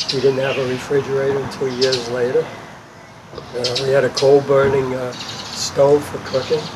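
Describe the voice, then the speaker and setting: Moderately paced male speech in an American accent, against noticeable background noise. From New York City, Brooklyn. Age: 80s+. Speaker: park volunteer. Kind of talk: interview. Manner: hesitant, many fillers.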